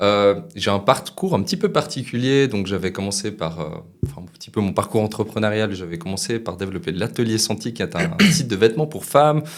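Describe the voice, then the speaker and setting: This man has an ordinary speaking voice, fairly low in pitch, with lively intonation. He talks at a fairly quick pace, with big swings in loudness. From Switzerland. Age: 20s. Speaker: trader and entrepreneur. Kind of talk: podcast interview.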